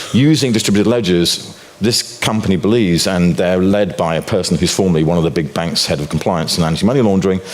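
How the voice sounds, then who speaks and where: A man with a very deep, low pitch talks at a very fast pace, with audible room echo and noticeable background noise. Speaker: financial commentator and author. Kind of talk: conference talk. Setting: stage with audience.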